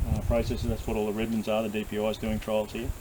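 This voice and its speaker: A man with an Australian accent speaks very fast, with noticeable background noise behind him. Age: 60s. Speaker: farmer. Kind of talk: casual chat.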